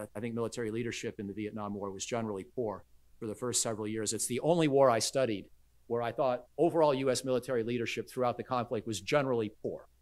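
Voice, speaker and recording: On a very clean recording with a silent background, a man at a medium pitch talks at a very fast pace with fairly even intonation. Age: 60s. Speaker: military expert. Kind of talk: lecture. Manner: halting.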